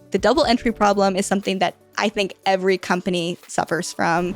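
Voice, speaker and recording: A woman at medium pitch speaks at a fairly quick pace with very even loudness and fairly even intonation. Music plays in the background, and the sound is dry and close with no echo. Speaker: podcast host. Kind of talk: interview conversation.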